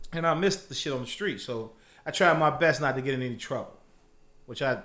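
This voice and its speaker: Audible room echo surrounds a voice with a bright, sharp tone and an animated tone, which moves at a fairly quick pace with lively intonation. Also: man. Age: 40s. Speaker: former drug dealer, employee. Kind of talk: casual interview chat.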